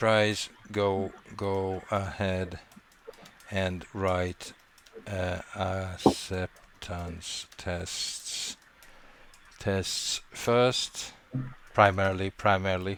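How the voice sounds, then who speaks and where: A man's very deep, low voice with a non-native accent, flat and monotone, at a very slow pace with long, frequent pauses. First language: not English. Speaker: coding instructor. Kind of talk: online class discussion. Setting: video call with screen sharing. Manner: halting, many restarts.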